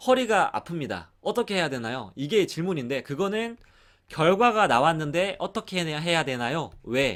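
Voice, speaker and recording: This man has a high pitch and an animated tone. He talks at a moderate pace with lively intonation. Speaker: exercise instructor teaching a course. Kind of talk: lecture. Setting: online course recording.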